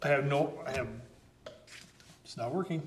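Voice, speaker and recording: Noticeable background noise and audible room echo surround a man's voice. He speaks at a medium pitch and a moderate pace with fairly even intonation. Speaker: municipal councillor. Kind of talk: council meeting discussion. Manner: loud.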